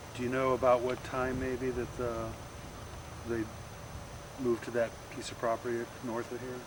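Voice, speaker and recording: Moderate pace, long and frequent pauses, and monotone, flat intonation, with noticeable background noise. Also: man, medium pitch for a man. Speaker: oral history interviewer.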